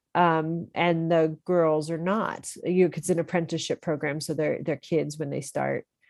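A woman's fairly low voice with an American accent, an ordinary speaking voice, a moderate pace and a quiet background. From central Pennsylvania. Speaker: company chief executive. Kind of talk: interview.

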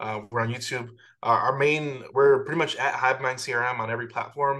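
The voice has an American accent and a bright, sharp tone. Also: man. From US Midwest, Chicago. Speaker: software founder and real estate investor. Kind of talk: interview.

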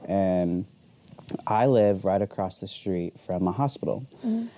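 A man with an American accent, a normal speaking voice, fairly low pitch and ordinary pitch variation. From Arizona. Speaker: photographer. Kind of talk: casual chat.

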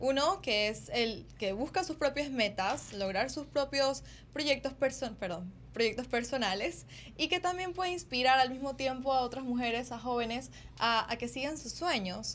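Her high-pitched voice carries lively intonation at a moderate pace. The woman is heard over a quiet background. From Ecuador. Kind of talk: interview.

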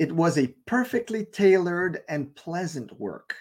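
A man with a French accent at a fairly slow pace, on a very clean recording with a silent background. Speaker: online preacher. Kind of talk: sermon-style Bible teaching. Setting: live stream broadcast.

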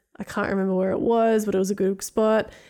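Her tone is dark and mellow, at a medium pitch for a woman, and she talks at a very fast pace. The recording is very clean, with a silent background. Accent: Australian. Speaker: podcast host. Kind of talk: casual interview.

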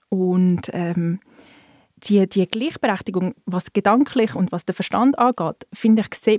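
A woman with a dark, mellow tone speaks at a fairly slow pace with ordinary pitch variation. The sound is dry and close, with no echo. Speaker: bookseller. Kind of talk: casual chat.

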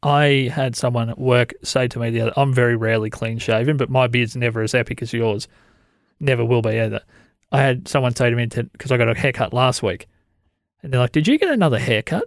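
On a very clean recording with a silent background, a man of medium pitch talks at a very fast pace with an Australian accent. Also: fairly even intonation. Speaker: podcast host. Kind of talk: casual chat. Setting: studio.

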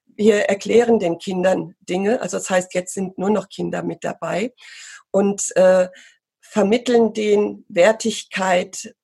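A woman's medium-pitched voice, dark and mellow in tone with vocal fry, at a very slow pace and with fairly even intonation. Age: 50s. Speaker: pony riding instructor and marketing entrepreneur. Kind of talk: interview conversation.

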